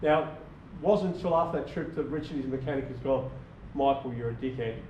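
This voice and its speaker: In an Australian accent, a man with a fairly high, somewhat breathy voice talks at a very fast pace with ordinary pitch variation, and audible room echo surrounds him. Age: 60s. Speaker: small business owner presenting to a club. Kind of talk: club presentation. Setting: club meeting with audience. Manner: casual, repetitive with false starts.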